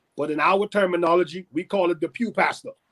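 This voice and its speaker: Dry and close with no echo, a man with a Bahamian accent speaks at a high pitch and a fairly quick pace with ordinary pitch variation. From Bahamas. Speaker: pastor. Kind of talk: interview conversation.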